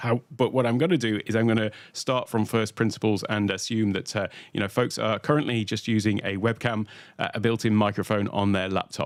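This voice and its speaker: A very fast speaker with a British accent and fairly even intonation. The recording is very clean, with a silent background. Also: man. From UK. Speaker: tech educator, workshop host. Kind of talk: livestream tutorial. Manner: many filler uhs.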